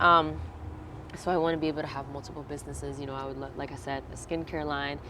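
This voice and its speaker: This voice belongs to a woman. Her speech carries an American accent. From Virginia, US. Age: 20s. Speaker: singer. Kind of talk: interview.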